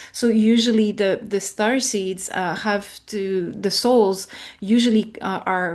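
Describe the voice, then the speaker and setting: A woman with a French accent talks at a very slow pace and a medium pitch. Her intonation stays fairly even. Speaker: spiritual guest, artist and anthropologist. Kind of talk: interview. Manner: halting, searching for words.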